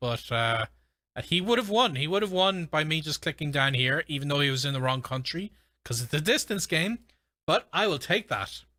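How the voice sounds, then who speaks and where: Bright and sharp in tone, a man with an Irish accent speaks at a fairly high pitch with ordinary pitch variation and a fairly quick pace. The recording is very clean with a silent background, dry and close with no echo. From Ireland. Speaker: gaming streamer and language learner. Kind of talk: live stream commentary while gaming. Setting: live stream. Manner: casual, with frequent fillers.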